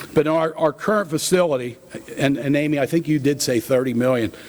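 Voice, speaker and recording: A man with a Pennsylvania accent talks at a very fast pace. His pitch varies in an ordinary way over noticeable background noise. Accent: Pennsylvania American. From central Pennsylvania (Blair County). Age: 60s. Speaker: food company president. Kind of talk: keynote talk. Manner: casual with many fillers.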